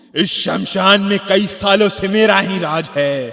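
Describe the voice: Putting on a character voice, a man speaks at a fairly slow pace in a high pitch, with a bright, sharp tone, vocal fry and ordinary pitch variation.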